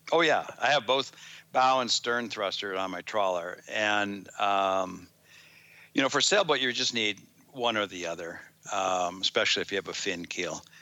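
At a moderate pace and with ordinary pitch variation, this is a plain, everyday voice. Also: man, fairly low pitch for a man. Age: 60s. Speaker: engineer and product developer. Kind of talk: interview.

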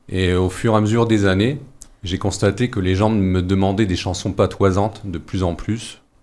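A man with an ordinary speaking voice, pitched fairly low. He keeps a moderate pace and fairly even intonation. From northern France, mining basin. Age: 40s. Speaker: singer and theatre company leader. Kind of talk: radio interview.

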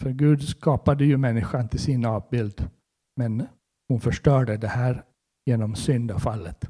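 A man with a medium pitch, a dark, mellow tone and a somewhat breathy voice talks at a fairly slow pace with ordinary pitch variation, in a dry, close sound with no echo. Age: 60s. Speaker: preacher. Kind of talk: sermon.

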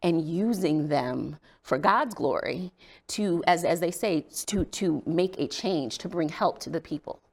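In an American accent, a woman speaks at a fairly low pitch with vocal fry, lively intonation and a moderate pace. The recording is very clean, with a silent background. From Indiana, US Midwest. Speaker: state legislator and domestic violence advocate. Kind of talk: interview testimony.

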